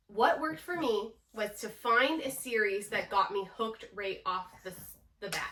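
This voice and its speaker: A woman with a Canadian accent speaks at a fairly high pitch. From Canada. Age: 30s. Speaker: book vlogger. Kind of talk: casual vlog talk. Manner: chatty.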